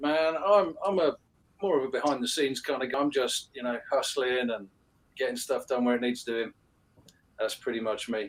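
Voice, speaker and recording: This man's voice sits at a fairly high pitch with ordinary pitch variation. He keeps a moderate pace broken by long, frequent pauses. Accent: London. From London, England (Hammersmith). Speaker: disc golf shop co-owner. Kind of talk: podcast interview. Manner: halting, many fillers.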